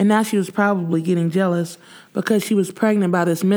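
An unforced reading voice carries the words with fairly even intonation.

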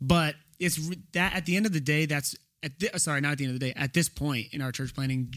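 A man with an American accent and a normal speaking voice talks at a fairly quick pace with ordinary pitch variation, on a very clean recording with a silent background. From Texas (Houston). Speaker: church planter, pastor. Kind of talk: casual chat.

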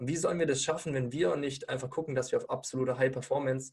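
A man talks in a somewhat breathy way, keeping his intonation fairly even. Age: 20s. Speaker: weight-loss and nutrition coach. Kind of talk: podcast interview. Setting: studio with camera.

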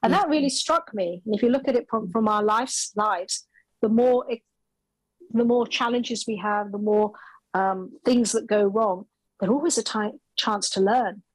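Music plays behind a voice that moves at a moderate pace. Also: woman, fairly high pitch for a woman, ordinary pitch variation. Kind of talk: interview conversation.

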